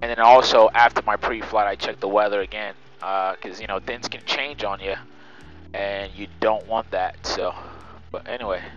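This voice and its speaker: At a moderate pace and with fairly even intonation, the voice sounds dry with no echo, faint music playing in the background. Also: man, fairly low pitch for a man. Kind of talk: casual vlog commentary.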